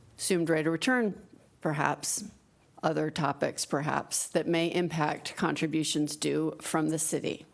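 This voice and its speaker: A woman speaks at a moderate pace with a very deep, low pitch, vocal fry and ordinary pitch variation. Her loudness stays very even, and the recording is very clean with a silent background. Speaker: fiduciary training presenter. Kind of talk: training presentation.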